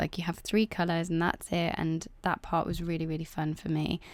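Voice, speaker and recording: The speaker has an English Midlands accent. The pace is fairly quick. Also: woman. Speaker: art youtuber. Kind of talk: casual vlog narration. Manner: relaxed, hesitant with many fillers.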